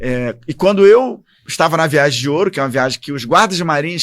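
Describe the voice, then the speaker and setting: In a Rio de Janeiro accent, a man speaks at a fairly quick pace with a dry, close sound and no echo. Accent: carioca. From Rio de Janeiro, Brazil. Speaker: army officer and former congressman. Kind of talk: interview.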